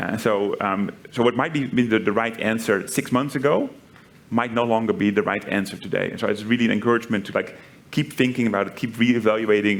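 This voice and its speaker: A man with a Dutch accent talks at a fairly quick pace and with fairly even intonation over noticeable background noise. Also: medium pitch for a man. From Netherlands. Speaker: tech company executive. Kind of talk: panel interview. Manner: frequent fillers and repetitions.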